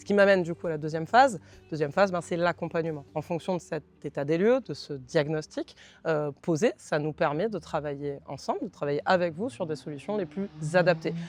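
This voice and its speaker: A fairly quick delivery in a southern French accent, over a quiet background. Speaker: consulting firm representative. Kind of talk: company presentation.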